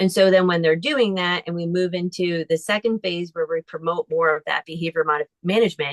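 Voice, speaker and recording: A woman with a normal speaking voice talks at a fairly quick pace and a fairly low pitch, her intonation fairly even, in a dry, close sound with no echo. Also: hardly any pauses. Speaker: therapist. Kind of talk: lecture.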